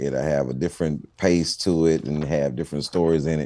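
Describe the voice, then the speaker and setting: In a Houston accent, a man talks with a very deep, low pitch, a dark, mellow tone and ordinary pitch variation. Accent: Houston Texas. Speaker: stand-up comedian. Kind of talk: TV interview.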